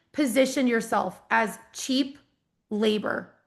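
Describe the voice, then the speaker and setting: A woman speaks with an American accent, and the background is quiet. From US Midwest, rural Iowa. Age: 30s. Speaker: business coach. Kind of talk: live online training. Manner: fast; animated.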